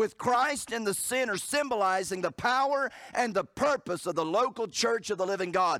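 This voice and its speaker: Over a very clean recording with a silent background, a man speaks at a moderate pace and high pitch in a bright, sharp, animated tone with lively intonation. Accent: Southern US. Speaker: pastor. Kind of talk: sermon. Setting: church. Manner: animated, fervent preaching with emphatic repetition and rhetorical questions; jokes with the congregation, conversational asides.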